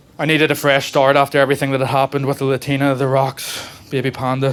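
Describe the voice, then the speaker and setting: A man speaks with a Northern Irish accent at a very fast pace. Noticeable background noise is present. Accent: regional Northern Irish. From Northern Ireland, Belfast. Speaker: stand-up comedian. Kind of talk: stand-up. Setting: comedy club stage with audience.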